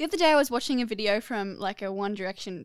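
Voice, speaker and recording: Speaking at a fairly quick pace with lively intonation, a woman with an Australian accent and a medium pitch comes through in a very clean recording with a silent background and a dry, close sound with no echo. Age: 20s. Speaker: podcast co-host. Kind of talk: casual chat. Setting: studio.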